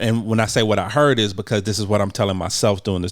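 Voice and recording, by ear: In a very clean recording with a silent background, a man talks fast in a fairly low pitch with fairly even intonation.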